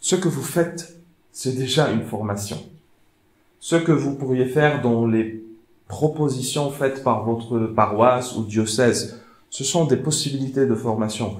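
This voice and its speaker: With a non-native accent, a man speaks very slowly in a somewhat breathy, medium-pitched voice with ordinary pitch variation, amid audible room echo. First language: not French (speaking French). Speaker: theologian and speaker. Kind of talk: lecture. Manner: halting.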